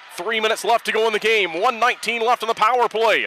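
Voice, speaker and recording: A man speaks in a raised, projected voice with an animated tone. The sound is dry with no echo, over light background noise. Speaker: hockey play-by-play announcer. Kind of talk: live sports commentary. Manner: fast, animated play-by-play delivery; clipped, urgent staccato. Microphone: headset.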